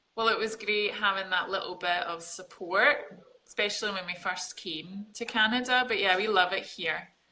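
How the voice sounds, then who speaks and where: The tone is bright and sharp. Intonation stays fairly even, with hardly any pauses. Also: woman, medium pitch for a woman, moderate pace. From Scotland, Glasgow. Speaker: fitness coach. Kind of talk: casual interview.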